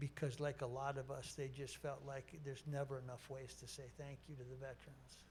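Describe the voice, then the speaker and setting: At a fairly quick pace, a man with a medium-pitched, somewhat breathy voice and an American accent speaks in a flat monotone. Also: hardly any pauses. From Minnesota. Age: 60s. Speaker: sports broadcaster, keynote speaker. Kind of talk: keynote speech.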